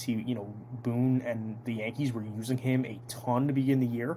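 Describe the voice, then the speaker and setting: A man speaks with an American accent at a medium pitch and a moderate pace. His tone is dark, mellow and somewhat breathy, with a monotone, flat intonation. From New Jersey (Toms River). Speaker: sports podcast host. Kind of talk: casual solo sports analysis podcast.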